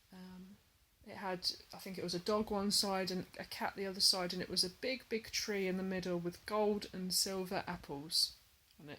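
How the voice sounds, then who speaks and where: A woman's bright, sharp voice in an English accent, monotone and flat, with big swings in loudness and a moderate pace. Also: medium pitch for a woman. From England. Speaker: hobby vlogger, cross stitcher. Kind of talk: casual vlog talk to camera. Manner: hesitant, many fillers.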